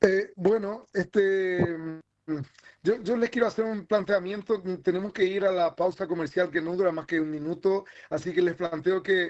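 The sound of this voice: A man's high-pitched, slightly mellow voice at a moderate pace with fairly even intonation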